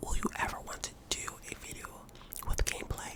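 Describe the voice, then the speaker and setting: Over noticeable background noise, a man whispers in a relaxed tone at a fairly quick pace. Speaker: ASMR artist. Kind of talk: whispered Q&A to camera. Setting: home recording. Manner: whispered, relaxed.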